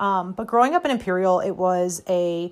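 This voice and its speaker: Speaking with a Midwestern American accent, a woman uses a medium pitch and an animated tone. Her pace is fairly slow, and her pitch varies in an ordinary way. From US Midwest, Missouri (near St. Louis). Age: 40s. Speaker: podcast host. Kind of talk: casual monologue.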